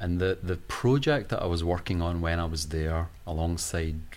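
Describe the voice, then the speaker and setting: Here a man speaks with a very deep, low pitch. Audible room echo surrounds him. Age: 40s. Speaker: historian and museum curator. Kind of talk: interview.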